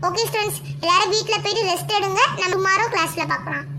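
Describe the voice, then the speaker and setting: In a cartoonish character voice, a woman talks at a fairly quick pace over clear background noise. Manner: bossy, brisk.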